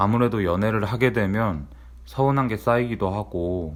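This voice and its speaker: A normal speaking voice with lively intonation at a moderate pace, on a very clean recording with a silent background. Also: man. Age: 30s. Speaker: office worker vlogger. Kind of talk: personal vlog monologue.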